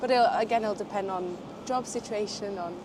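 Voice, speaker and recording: Ordinary pitch variation and a moderate pace come through noticeable background noise. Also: woman. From southern Portugal, French parents; London from 16. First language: French and Portuguese. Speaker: graduate student interviewed on the street. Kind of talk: street interview. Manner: hesitant, many fillers.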